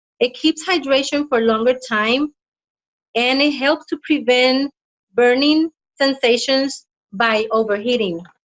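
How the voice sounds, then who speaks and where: With a non-native accent, a high-pitched woman speaks with ordinary pitch variation and long, frequent pauses. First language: not English. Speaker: health practitioner and product presenter. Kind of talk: product presentation read from notes. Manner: halting.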